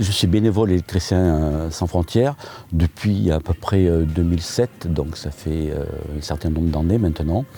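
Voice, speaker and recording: The tone is dark and mellow. Pace is moderate, with ordinary pitch variation. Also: man, very deep, low pitch for a man. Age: 60s. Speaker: volunteer electrician. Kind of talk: interview. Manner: hesitant, frequent filler sounds.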